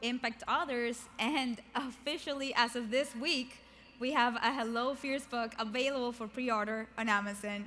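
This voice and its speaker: Over noticeable background noise, a woman speaks in a high pitch. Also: moderate pace. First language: not English. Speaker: keynote speaker and author. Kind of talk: motivational keynote speech. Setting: stage with large audience. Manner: animated.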